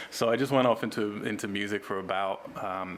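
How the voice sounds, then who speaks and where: A man with an American accent speaks at a moderate pace in a fairly low pitch. Noticeable background noise runs under his voice. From England, Cambridge. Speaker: film director and writer. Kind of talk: interview. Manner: hesitant, many fillers.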